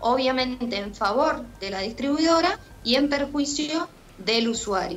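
Her tone fairly bright and her pitch high, a woman talks at a moderate pace with lively intonation.

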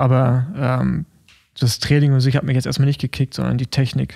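A man with a dark, mellow tone at a moderate pace, the sound dry and close with no echo. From Rostock, eastern Germany. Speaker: podcast co-host, former pro cyclist. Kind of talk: casual chat.

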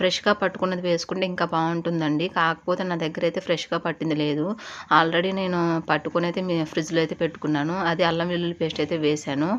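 A fairly low-pitched woman's voice with monotone, flat intonation. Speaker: cooking vlogger. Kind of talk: tutorial.

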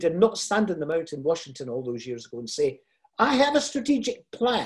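A man's dark, mellow voice with a Scottish accent over a quiet background. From Scotland, Fife (Kirkcaldy); Scotland. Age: 70s. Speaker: motivational speaker. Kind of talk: motivational talk. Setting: video call. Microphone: video call.

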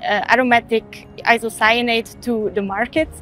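A woman's voice at a fairly slow pace, fairly even in intonation, dry with no echo, over faint music in the background. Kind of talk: interview answer. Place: factory.

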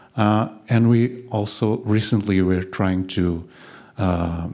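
A man is speaking. His voice is very deep and low in pitch. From Portugal (Lisbon); Portugal. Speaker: designer; conference speaker. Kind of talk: conference talk. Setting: stage with audience. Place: hall. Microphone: handheld.

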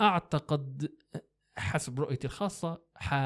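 In a Libyan accent, a man talks with a fairly high pitch and a dark, mellow tone. His pitch variation is ordinary, and the background is quiet. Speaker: graphic designer; podcast guest or host. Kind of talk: casual interview. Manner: halting with many fillers. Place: studio. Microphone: studio mic.

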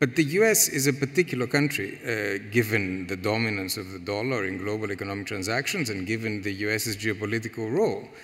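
Someone with a Greek accent talks at a fairly quick pace with hardly any pauses and ordinary pitch variation against a quiet background. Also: man, fairly low pitch for a man. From Greece. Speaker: economic policy expert. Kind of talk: panel discussion. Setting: stage with audience. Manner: halting, many repetitions. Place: hall. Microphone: headset.

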